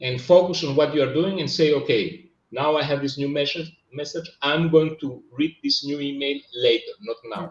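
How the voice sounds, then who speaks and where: With a Greek accent, a man speaks at a fairly high pitch and moderate pace, with ordinary pitch variation and hardly any pauses. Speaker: business coach. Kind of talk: casual chat. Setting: live stream. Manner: halting.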